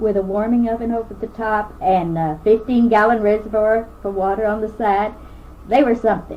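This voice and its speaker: Through noticeable background noise, a woman with a Kentucky accent talks at a moderate pace in a fairly high pitch. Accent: Kentucky Southern US. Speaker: oral history interviewee. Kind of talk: oral history reminiscence. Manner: halting, with frequent fillers.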